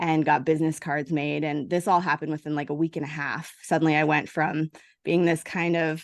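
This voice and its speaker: A woman speaks at a fairly quick pace in a very deep, low pitch. Her intonation is monotone and flat, and the background is quiet. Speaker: business coach and entrepreneur. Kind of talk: podcast interview. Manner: fast.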